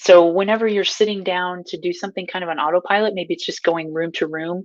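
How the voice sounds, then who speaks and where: A woman's plain, everyday voice with an American accent, fairly low pitch, ordinary pitch variation and a moderate pace over a quiet background. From Nebraska. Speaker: mindfulness coach. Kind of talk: mindfulness teaching to camera. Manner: casual, upbeat.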